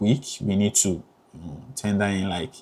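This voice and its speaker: A man talks with a Ghanaian accent. His pitch sits fairly low. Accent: Ghanaian accent, kept. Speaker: graduate student vlogger. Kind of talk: casual advice vlog. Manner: hesitant, many fillers.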